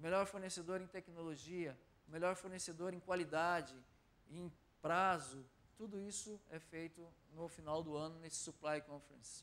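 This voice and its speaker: A man with a São Paulo accent talks at a moderate pace in a high pitch. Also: fairly even intonation. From Brazil, São Paulo. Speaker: corporate supply director, speaker. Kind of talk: lecture.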